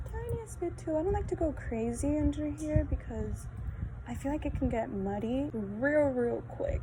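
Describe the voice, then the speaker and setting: There is audible room echo and noticeable background noise. A woman talks at a moderate pace. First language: Spanish. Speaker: beauty vlogger. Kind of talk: casual makeup tutorial. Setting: outdoors in backyard. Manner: chatty, casual.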